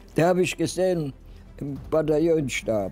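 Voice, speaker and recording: Over music in the background, a man speaks at a fairly high pitch and a fairly slow pace, with ordinary pitch variation. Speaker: WWII veteran, former German infantry soldier. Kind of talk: eyewitness interview answer.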